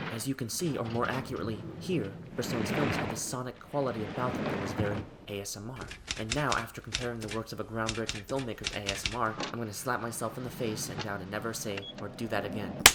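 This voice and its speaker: A man whispers at a very fast pace, with audible room echo and noticeable background noise. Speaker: film video essayist. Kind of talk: video essay narration. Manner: whispering.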